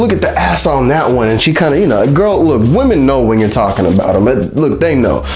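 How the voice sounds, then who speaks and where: A man with a fairly high pitch talks at a fairly quick pace in an animated tone. Music plays in the background, and the room echo is audible. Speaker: vlogger. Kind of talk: casual monologue.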